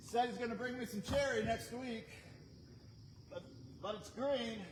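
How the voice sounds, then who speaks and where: A loud man with an extremely high pitch and fairly even intonation, amid audible room echo and noticeable background noise. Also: moderate pace. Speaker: firewood seller and video host. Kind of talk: live stream casual talk while working. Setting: outdoors at a wood pile. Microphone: no microphone, camera mic; microphone battery died.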